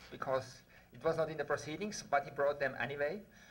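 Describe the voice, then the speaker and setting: Audible room echo surrounds the voice. A man speaks with a Swiss accent and ordinary pitch variation. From Switzerland. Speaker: researcher. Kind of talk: conference talk.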